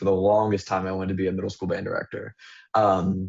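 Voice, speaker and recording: The man's fairly low voice stays monotone, with flat intonation throughout. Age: 20s. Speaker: student mentor panelist. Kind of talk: virtual panel discussion. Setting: video call.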